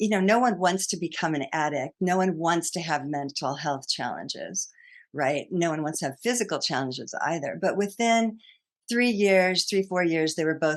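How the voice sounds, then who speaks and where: Against a quiet background, a woman with an American accent uses an ordinary speaking voice, fairly low in pitch, with ordinary pitch variation at a moderate pace. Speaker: psychotherapist and author. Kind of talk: podcast interview.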